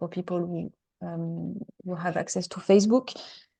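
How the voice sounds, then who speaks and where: In a French accent, a woman speaks with fairly even intonation. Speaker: webinar moderator. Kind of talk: webinar introduction. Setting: online webinar. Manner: halting, many fillers.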